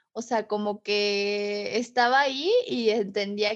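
Against a quiet background, a woman with a Mexican accent speaks at a fairly high pitch. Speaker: podcast co-host. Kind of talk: casual chat.

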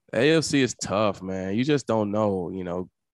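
A man with a Southern US accent and a fairly low pitch speaks at a moderate pace, the sound dry and close with no echo. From Mississippi, US South. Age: 30s. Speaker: retired football player. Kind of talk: interview. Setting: video call.

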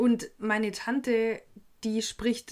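A woman's fairly high voice with a Swabian accent, in a very clean recording over a silent background. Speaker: podcast host. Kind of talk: casual chat.

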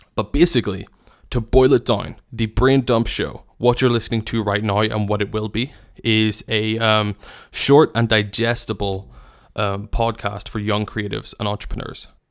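In a very clean recording with a silent background, a man with a Northern Irish accent speaks in a fairly low, monotone, flat voice. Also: moderate pace. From Northern Ireland. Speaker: podcast host and wedding filmmaker. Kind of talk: solo casual monologue. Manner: hesitant, many fillers.

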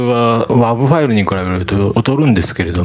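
Against noticeable background noise, the speaker talks at a moderate pace with ordinary pitch variation. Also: man. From Shizuoka, Japan. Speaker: radio DJ and musician. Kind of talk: radio show hosting.

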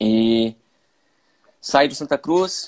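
A man talks at medium pitch. The sound is dry and close, with no echo. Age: 20s. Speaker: sports physiologist. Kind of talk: casual interview.

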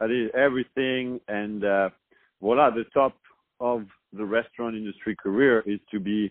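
Talking fairly slowly, a man speaks in a French accent. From France. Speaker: restaurant owner. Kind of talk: interview.

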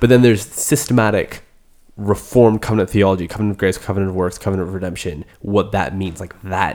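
A fairly low-pitched male voice at a very fast clip, on a very clean recording with a silent background. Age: 20s. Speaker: podcast host. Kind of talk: casual chat. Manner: animated.

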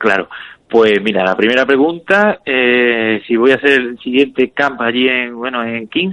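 At a fairly slow pace, a man with a medium pitch speaks in a bright, sharp tone with ordinary pitch variation. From Spain. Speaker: professional MMA fighter. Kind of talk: interview.

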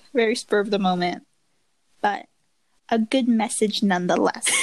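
A woman talks at a fairly slow pace. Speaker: podcast co-host. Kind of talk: casual chat.

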